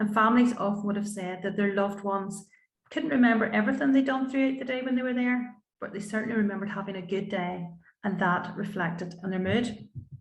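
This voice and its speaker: Talking at a very fast pace in a Northern Irish accent, a woman with a medium-pitched, somewhat breathy voice shows ordinary pitch variation, with audible room echo. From Northern Ireland, County Antrim. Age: 50s. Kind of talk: panel talk.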